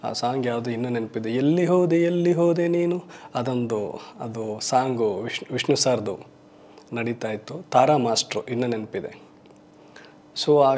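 A man talks in an ordinary speaking voice at a medium pitch. His pitch shows ordinary variation. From Karnataka, Shivamogga district; Karnataka. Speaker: film makeup artist turned actor. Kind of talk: interview monologue. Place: studio. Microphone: lapel.

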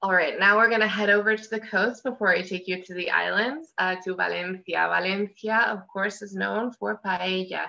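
At a moderate pace with hardly any pauses, a woman speaks with fairly even intonation and big swings in loudness. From US Northeast. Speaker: travel specialist; guest. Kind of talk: travel presentation. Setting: video call. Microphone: video call.

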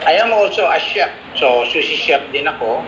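Here a man speaks at a fairly slow pace. Noticeable background noise runs underneath. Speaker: guest. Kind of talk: interview answer. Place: office. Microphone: video call.

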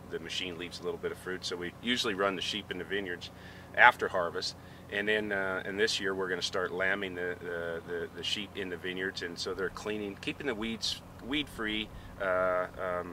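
At a moderate pace, a man with a very deep, low pitch talks in fairly even intonation, the sound dry with no echo and noticeable background noise present. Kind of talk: interview answer.

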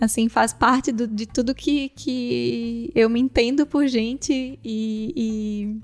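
A woman's fairly high voice at a very slow pace, hardly any pauses, and fairly even intonation. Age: 30s. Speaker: podcast co-host. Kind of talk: casual chat.

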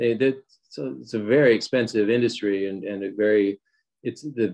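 With an American accent, this a normal speaking voice moves at a moderate pace. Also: man. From US Mid-Atlantic, Wilmington, Delaware. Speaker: screenwriter. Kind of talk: interview.

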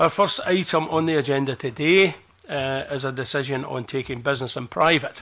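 A man speaks with ordinary pitch variation. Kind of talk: formal meeting chairing. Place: meeting room. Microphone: podium.

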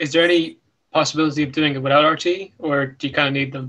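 A man with an Irish accent, fairly high pitch and fairly even intonation, over a quiet background. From Ireland. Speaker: podcast host. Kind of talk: casual chat. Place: home room. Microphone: video call.

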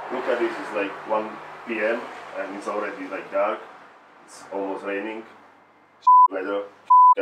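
Loud background noise fills the clip as a man speaks at a moderate pace. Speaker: comedy vlogger. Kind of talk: casual vlog chat, comedic sketch.

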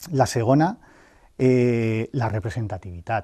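Against a quiet background, a man talks very slowly with a dark, mellow tone. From Valencia region, Spain (Algemesí); Valencia region, Spain. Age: 40s. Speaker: mayoral candidate and university lecturer; election candidate. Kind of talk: interview. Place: studio. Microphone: lapel.

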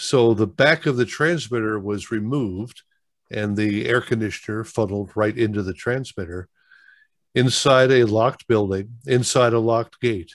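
Over a quiet background, a man talks at a fairly slow pace with a fairly low pitch. The sound is dry with no echo, and his pitch variation is ordinary. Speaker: online meetup host. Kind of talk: group discussion. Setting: video call. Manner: halting. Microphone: video call.

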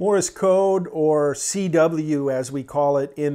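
Here a man speaks in a dark, mellow tone. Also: quiet background. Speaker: ham radio hobbyist. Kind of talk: casual vlog chat. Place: home room.

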